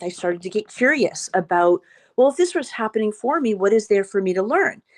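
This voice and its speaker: A woman with a plain, everyday voice talks at a moderate pace, her pitch fairly high and her intonation lively, in a dry, close recording with no echo and a quiet background. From Boston area. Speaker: trauma survivor and documentary producer. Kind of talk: interview, personal testimony.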